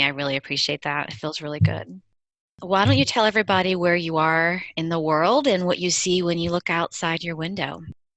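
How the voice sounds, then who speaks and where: A woman has an unremarkable speaking voice at a fairly low pitch. She talks at a fairly quick pace. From Maryland. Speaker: podcast host. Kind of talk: casual interview.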